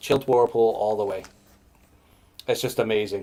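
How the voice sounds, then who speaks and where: A man talks with an American accent. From US Northeast (New Hampshire). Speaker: brewer. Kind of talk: casual chat.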